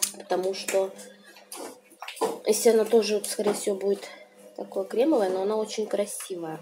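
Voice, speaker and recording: A woman of medium pitch at a moderate pace, relaxed in tone, with fairly even intonation, long and frequent pauses, and noticeable background noise. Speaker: video blogger. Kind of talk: casual talk to camera. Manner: relaxed, chatty. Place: home room. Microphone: phone near.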